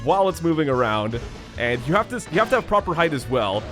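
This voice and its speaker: Music plays in the background as a man speaks at a very fast pace with very wide pitch swings. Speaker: let's play commentator. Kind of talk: video game walkthrough commentary.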